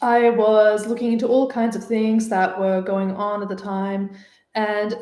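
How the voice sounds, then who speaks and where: Fairly high in pitch, a woman speaks at a fairly slow pace. Her intonation is fairly even, and room echo is audible. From Australia, Sydney (born Ukraine, moved at four). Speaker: dating coach. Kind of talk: casual live stream chat. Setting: live stream. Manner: chatty, many fillers.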